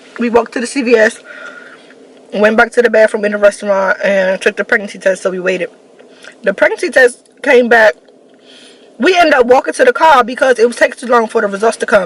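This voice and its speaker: A woman's fairly high voice with an American accent, very fast pace, ordinary pitch variation, long, frequent pauses and noticeable background noise. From Washington, DC. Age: 20s. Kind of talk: casual storytime talk to camera.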